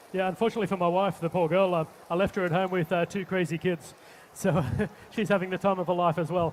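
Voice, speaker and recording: Speaking very fast with an Australian accent, a man keeps a high pitch in a monotone, flat intonation. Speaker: chef. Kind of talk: live cooking demonstration. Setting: stage with audience. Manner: halting, many fillers.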